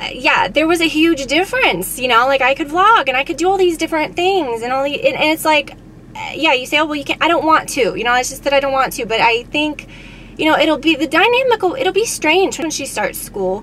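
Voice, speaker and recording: Over light background noise, a woman speaks at a fairly quick pace with a high pitch and very wide pitch swings, in a dry sound with no echo. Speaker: beauty vlogger. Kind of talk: casual vlog chat. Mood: reflective, candid. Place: car. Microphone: phone near.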